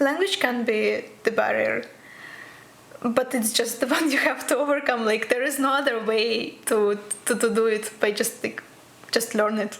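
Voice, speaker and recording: Amid noticeable background noise, a woman with a Russian accent and a fairly high pitch speaks at a moderate pace with very even loudness and fairly even intonation. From Russia, Krasnoyarsk. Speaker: physics PhD student. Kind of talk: interview.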